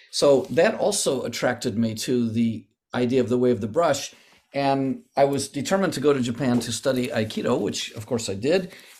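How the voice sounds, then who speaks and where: An ordinary speaking voice: a man with an American accent, medium pitch, ordinary pitch variation and a moderate pace. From United States. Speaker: calligrapher and martial arts teacher. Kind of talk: interview.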